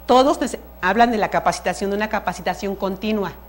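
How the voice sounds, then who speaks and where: Her pitch medium and its variation ordinary, a woman speaks with vocal fry. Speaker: museum educator. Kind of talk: lecture. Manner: fast; halting.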